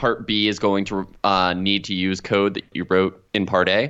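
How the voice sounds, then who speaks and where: A man's normal speaking voice, fairly low in pitch, with ordinary pitch variation and a quiet background. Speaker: podcast co-host, software developer. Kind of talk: casual chat.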